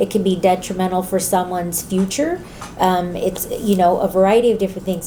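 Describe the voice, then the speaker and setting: A woman with a medium pitch and fairly even intonation is heard over noticeable background noise. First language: Spanish. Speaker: community college trustee. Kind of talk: interview. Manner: hesitant, many fillers.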